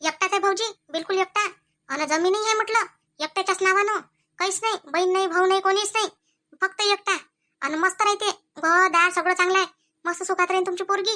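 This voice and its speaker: A woman puts on a squeaky character voice at an extremely high pitch, with fairly even intonation. Her pace is moderate, and the sound is dry and close with no echo. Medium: comedy sketch. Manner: chatty, persuasive.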